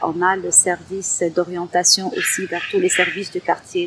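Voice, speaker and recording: A woman speaks at a fairly low pitch and a fairly slow pace. Noticeable background noise can be heard. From Algeria. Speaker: community centre coordinator. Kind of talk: testimony.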